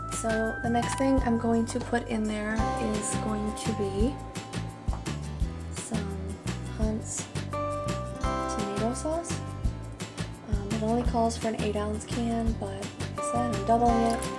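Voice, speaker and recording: Speech at a very slow pace over loud music in the background. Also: woman. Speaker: home cooking vlogger. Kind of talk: casual vlog chat. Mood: friendly, relaxed. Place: kitchen. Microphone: phone near.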